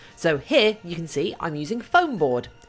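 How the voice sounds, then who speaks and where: A woman speaks at a moderate pace with faint music playing in the background. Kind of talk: tutorial livestream. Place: workshop.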